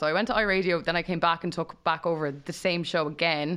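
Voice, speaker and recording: A woman with an Irish accent and a fairly low pitch. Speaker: radio DJ. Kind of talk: casual chat. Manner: fast talker.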